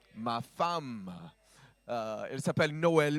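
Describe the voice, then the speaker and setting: At a very slow pace, a man with a medium pitch and an American accent speaks with a dry, close sound and no echo. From US South, Georgia. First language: English (speaking French). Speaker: pastor. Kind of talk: sermon. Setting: church. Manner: halting.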